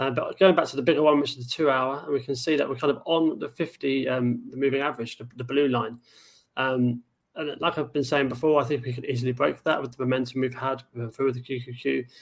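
A man talks at a fairly quick pace with a medium pitch and fairly even intonation. It is a normal speaking voice. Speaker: trading show co-host. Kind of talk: casual chat about stock charts.

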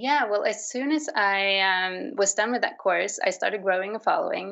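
This woman talks at a medium pitch and a moderate pace, her pitch varying in an ordinary way. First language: Swedish. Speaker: artist. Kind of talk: interview. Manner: hesitant, with fillers.

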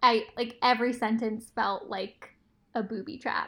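Fairly high in pitch, a woman's bright, sharp tone comes at a moderate pace. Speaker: former colleague, editor. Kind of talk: casual chat.

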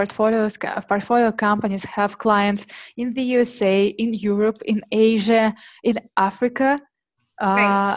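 A woman with a Russian accent, fairly high pitch and fairly even intonation against a quiet background. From Siberia, Russia. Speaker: startup marketing head. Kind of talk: interview conversation. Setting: remote call. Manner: hesitant, filler-heavy.

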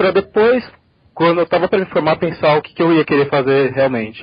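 A man talks at a fairly quick pace in a plain, everyday voice with ordinary pitch variation. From Brazil, São Paulo. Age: 20s. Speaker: corporate trainee. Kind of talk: interview.

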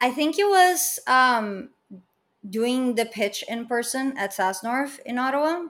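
A woman with a Portuguese accent talks at a very slow pace, leaving long, frequent pauses. Her high voice has lively intonation. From Brazil. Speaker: business founder and startup mentor. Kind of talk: interview conversation.

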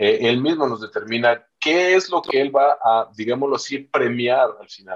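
A man is speaking. His pace is fairly slow. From Chiapas, southern Mexico (Yajalón). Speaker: pastor. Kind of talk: interview about church life. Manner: halting, many fillers and repetitions.

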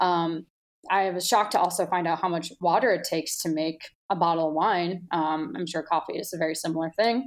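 On a very clean recording with a silent background, a woman with a plain, everyday voice and an American accent talks at a fairly quick pace in a fairly low pitch with ordinary pitch variation. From US Midwest (Milwaukee, Wisconsin). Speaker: sommelier. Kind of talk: casual chat.

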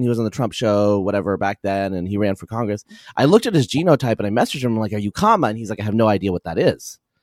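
Speaking very fast with an American accent, a man is heard on a very clean recording with a silent background and a dry, close sound with no echo. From US, Eastern Oregon. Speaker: population geneticist. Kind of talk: casual chat.

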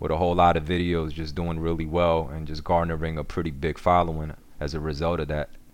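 A man's very deep, low voice in a New York accent, fairly quick and monotone, with flat intonation. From Korea, raised in New York. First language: Korean. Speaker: social media cooking creator. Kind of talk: casual interview. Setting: remote call.

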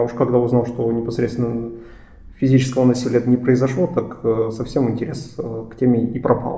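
Audible room echo around a male voice of medium pitch. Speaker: journalist and podcast host. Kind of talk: podcast discussion; scripted narration.

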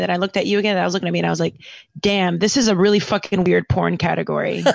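Speaking very fast, a woman sounds animated at a medium pitch. Vocal fry runs through her voice. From New York City. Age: 20s. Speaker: actor and podcaster. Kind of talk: casual chat.

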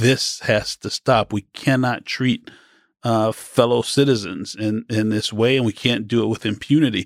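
A man at a medium pitch and moderate pace, fairly even intonation, dry close sound with no echo, very clean recording with a silent background. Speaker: law professor and defense lawyer. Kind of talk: casual interview conversation. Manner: hesitant, filler-heavy.

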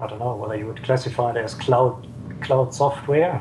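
A man speaks at a medium pitch with a German accent. Noticeable background noise runs behind him. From southern Germany. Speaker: software developer and energy researcher. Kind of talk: interview.

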